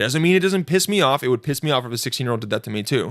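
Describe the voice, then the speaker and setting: On a very clean recording with a silent background, the sound is dry and close with no echo. A man talks in an animated tone with lively intonation. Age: 30s. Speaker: podcast host. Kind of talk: casual chat.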